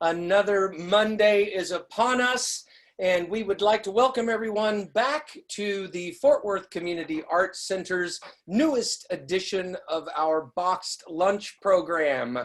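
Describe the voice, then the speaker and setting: Lively intonation runs through this woman's normal speaking voice as she talks at a fairly slow pace and medium pitch. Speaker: interview host. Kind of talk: interview host introduction. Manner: upbeat.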